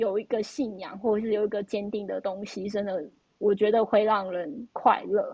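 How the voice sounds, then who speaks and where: She is a woman with an ordinary speaking voice, medium in pitch. Her intonation stays fairly even at a moderate pace. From Taiwan. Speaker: podcast host. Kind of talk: casual chat.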